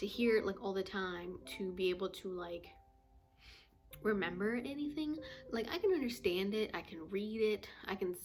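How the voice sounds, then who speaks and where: With an American accent, a woman speaks at a moderate pace. Music plays in the background. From United States. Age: 20s. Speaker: vlogger. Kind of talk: casual chat. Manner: casual, many fillers.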